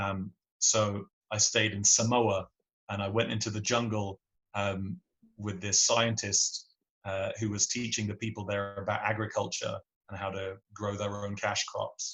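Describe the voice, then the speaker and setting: This man speaks in an English accent, his pitch fairly low. His delivery is fairly slow, with monotone, flat intonation. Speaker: singer-songwriter. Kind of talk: podcast interview answer.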